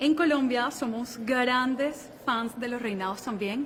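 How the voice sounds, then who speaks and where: A woman speaks in a high pitch with fairly even intonation against noticeable background noise. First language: Spanish. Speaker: beauty pageant contestant. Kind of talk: interview.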